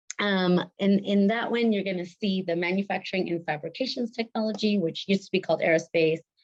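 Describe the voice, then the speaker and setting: A woman talks at a very fast pace with hardly any pauses, in a dry, close sound with no echo. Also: medium pitch for a woman. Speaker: college outreach representative. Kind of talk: virtual presentation. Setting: video call. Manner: animated.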